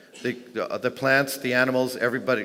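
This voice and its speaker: This is a man's voice. He talks at a fairly quick pace. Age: 60s. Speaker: inventor and conference speaker. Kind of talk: conference Q&A. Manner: halting.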